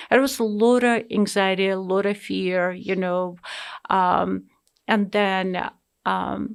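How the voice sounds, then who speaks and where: In a very clean recording with a silent background, a woman with a non-native accent speaks at a very slow pace. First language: not English. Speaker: immigrant sharing life story. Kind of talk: interview. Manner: hesitant, many fillers.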